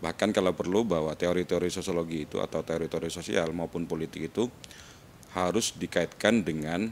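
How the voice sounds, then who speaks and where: A man with a Madurese accent talks fairly quickly in a very deep, low voice. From Madura, Indonesia. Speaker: university lecturer. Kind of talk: casual interview chat.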